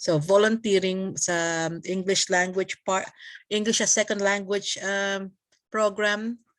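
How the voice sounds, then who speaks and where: Against a quiet background, a woman with a Filipino accent speaks at a fairly slow pace and a medium pitch, her intonation monotone and flat. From Philippines. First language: Tagalog. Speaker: community leader. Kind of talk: casual interview chat. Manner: halting with many fillers and code-switching.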